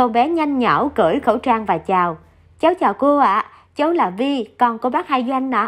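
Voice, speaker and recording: A woman with a high pitch and lively intonation speaks at a fairly slow pace over a quiet background. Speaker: radio narrator reading listener stories. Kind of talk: reading aloud.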